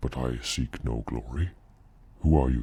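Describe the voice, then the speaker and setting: Putting on a character voice, a man speaks very deep and low at a moderate pace. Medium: read story. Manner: blunt, guarded.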